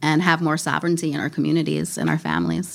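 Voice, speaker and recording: A woman speaks at a very fast pace with vocal fry and a very deep, low pitch. The recording is very clean, with a silent background. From US Midwest, Minneapolis. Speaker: podcast host and farmer. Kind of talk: interview conversation. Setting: recorded in Minneapolis.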